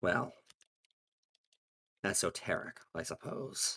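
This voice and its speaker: A man's put-on character voice, raspy and fairly low in pitch, at a fairly slow pace, in a dry, close sound with no echo. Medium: actual play.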